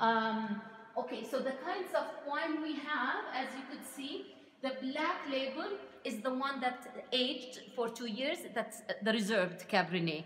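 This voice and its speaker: A woman with a high pitch speaks at a fairly slow pace, with audible room echo. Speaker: winery guide. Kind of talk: tour guide explanation. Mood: friendly, enthusiastic. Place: shop. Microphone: phone near.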